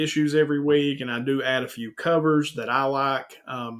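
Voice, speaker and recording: A man speaks with an Eastern Kentucky accent. His pitch is fairly high. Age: 40s. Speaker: YouTube host, comic collector. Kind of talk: casual interview. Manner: animated.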